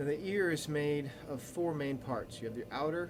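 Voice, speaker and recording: With noticeable background noise and audible room echo, a man speaks at a moderate pace and a fairly high pitch. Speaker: teacher. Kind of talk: recorded lecture. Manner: casual, many fillers and restarts.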